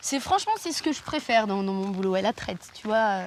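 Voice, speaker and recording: Noticeable background noise sits behind the voice. A woman talks at a very fast pace. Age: 20s. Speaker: dairy farmer. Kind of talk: casual chat. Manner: animated.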